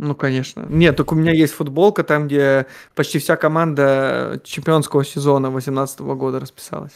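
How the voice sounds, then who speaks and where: Fairly even intonation at a moderate pace against a quiet background. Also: man, fairly high pitch for a man. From Siberia, Russia (Omsk); Siberia, Russia. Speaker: economist and football fan; guest. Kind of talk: casual chat. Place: office.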